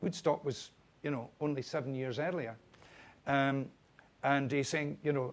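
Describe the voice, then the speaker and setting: A man with a Scottish accent talks at a moderate pace and a fairly high pitch. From Scotland, East Lothian coast. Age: 70s. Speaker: radio broadcaster. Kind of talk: anecdotal chat on stage. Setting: stage with live audience.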